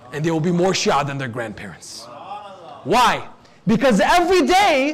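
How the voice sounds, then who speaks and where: Noticeable background noise and audible room echo surround this man's voice. He talks at a fairly slow pace with very wide pitch swings. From US (Detroit), part of childhood in Lebanon. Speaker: Islamic preacher. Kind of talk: sermon. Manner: formal.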